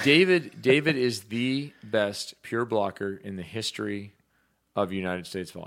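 In an ordinary speaking voice with a fairly low pitch, a man talks at a moderate pace with lively intonation and big swings in loudness, on a very clean recording with a silent background. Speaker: volleyball show host. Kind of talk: casual sports talk show chat. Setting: live stream show.

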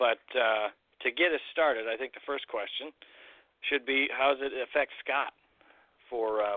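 A man with an American accent speaks at a moderate pace and medium pitch, with ordinary pitch variation. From rural Illinois. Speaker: podcast host. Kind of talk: casual chat.

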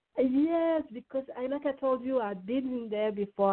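A woman with a slight French accent, at a fairly quick pace, with ordinary pitch variation. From France, Lyon. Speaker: singer-songwriter. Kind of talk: interview.

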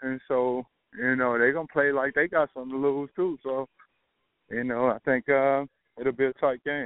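A man with a Southern US accent, medium pitch, a moderate pace and fairly even intonation. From US South, Alabama. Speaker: former NFL player. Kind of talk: casual chat. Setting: phone call.

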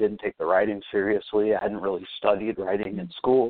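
An ordinary speaking voice from a man with an American accent, at a fairly quick pace with fairly even intonation. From Fort Wayne, Indiana, US Midwest. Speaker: filmmaker. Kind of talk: casual interview.

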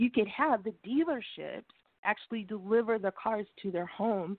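A woman speaks at a moderate pace in an ordinary speaking voice, her pitch varying in an ordinary way. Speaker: caller. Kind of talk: casual chat. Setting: phone call.

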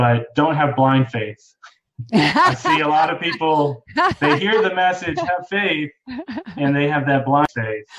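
A man with an ordinary speaking voice talks at a fairly slow pace. His pitch is fairly high, with ordinary pitch variation. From Boston, Massachusetts, with summers in North Carolina. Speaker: consultant and public speaker. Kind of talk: interview, casual chat. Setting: live stream.

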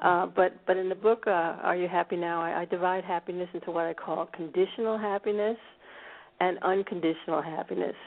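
A woman's plain, everyday voice with an American accent, medium pitch, fairly even intonation and a fairly quick pace. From US, Washington D.C. suburbs. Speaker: author. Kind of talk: interview.

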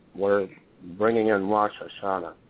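A man talks at a fairly low pitch with little pitch movement. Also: moderate pace.

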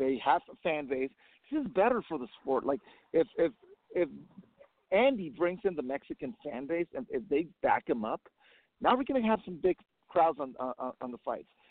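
At a moderate pace, a man talks with a fairly high pitch and very wide pitch swings. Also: long, frequent pauses. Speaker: caller. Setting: phone call. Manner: excited, emotional.

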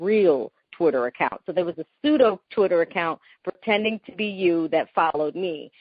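A woman with a fairly low pitch speaks at a fairly quick pace. Her intonation is lively. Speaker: entertainment TV host interviewer. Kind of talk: live phone interview, casual chat. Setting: phone call. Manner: animated, chatty.

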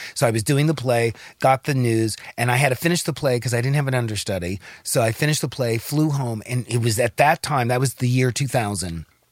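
A man with an American accent in a normal speaking voice, medium in pitch with ordinary pitch variation, at a fairly quick pace with very even loudness, in a dry, close sound with no echo. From Los Angeles. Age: 60s. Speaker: actor. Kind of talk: casual chat.

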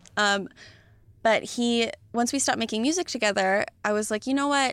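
A woman with a plain, everyday voice and a fairly high pitch speaks at a moderate pace. The sound is dry and close with no echo, on a very clean recording with a silent background. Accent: American. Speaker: comedian and TV writer-producer. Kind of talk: casual chat.

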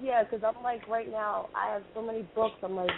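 Keeping a moderate pace and fairly even intonation, a woman talks in a plain, everyday voice. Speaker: caller. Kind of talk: call-in question. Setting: phone call.

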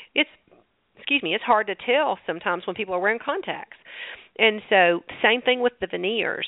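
Talking at a fairly quick pace with lively intonation, a woman with a Southern US accent and fairly high pitch leaves long, frequent pauses. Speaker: holistic dentist. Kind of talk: radio interview.

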